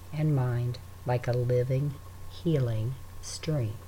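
At a very slow pace, a man speaks at medium pitch with a dark, mellow tone that is calm, soothing and somewhat breathy. His pitch varies in an ordinary way. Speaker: meditation guide. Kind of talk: guided meditation. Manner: slow, calm, soothing and unhurried, with long pauses between breaths; gentle, soft-spoken, reassuring.

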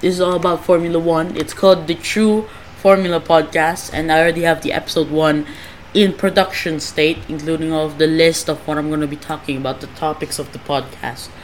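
Fairly even intonation from a woman with a fairly low pitch, at a fairly quick pace over noticeable background noise. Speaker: podcast host. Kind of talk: casual, self-deprecating rambling.

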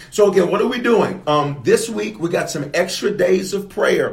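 A man does a put-on character voice, hoarse and high-pitched, at a moderate pace. There is light background noise.

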